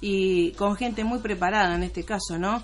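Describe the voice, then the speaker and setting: With audible room echo, a woman speaks at a moderate pace and a medium pitch. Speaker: radio host and producer. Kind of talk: radio interview.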